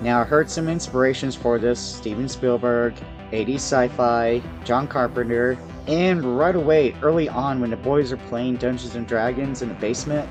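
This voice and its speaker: Music plays in the background as a man speaks at a moderate pace with lively intonation. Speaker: video reviewer. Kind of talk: casual talk to camera.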